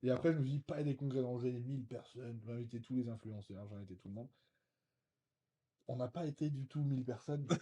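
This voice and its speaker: A man talks at a very fast pace in a dark, mellow, somewhat breathy tone. He leaves long, frequent pauses. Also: medium pitch for a man. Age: 30s. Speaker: real estate investor and short-term rental specialist. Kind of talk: interview conversation. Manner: hesitant, many fillers.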